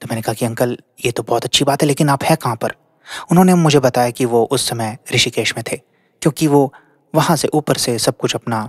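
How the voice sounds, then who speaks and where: A normal speaking voice from a man, medium in pitch, with ordinary pitch variation and a moderate pace, in a dry, close sound without echo. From Haryana, India. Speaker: storyteller. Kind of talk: narrated storytelling.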